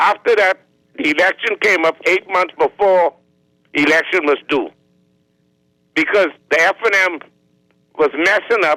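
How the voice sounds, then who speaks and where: A man with a Bahamian accent, high-pitched, bright and sharp in tone, his raised, projected voice held at very even loudness, with long, frequent pauses and a dry, close sound with no echo. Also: ordinary pitch variation, moderate pace. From Bahamas. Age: 70s. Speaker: caller. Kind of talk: call-in rant. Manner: animated.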